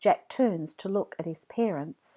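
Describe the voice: Dark, mellow tone with ordinary pitch variation. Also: woman.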